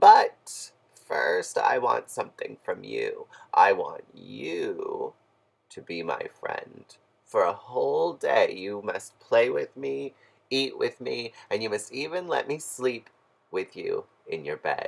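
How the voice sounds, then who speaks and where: A croaky, put-on character voice moves at a fairly slow pace. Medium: read story.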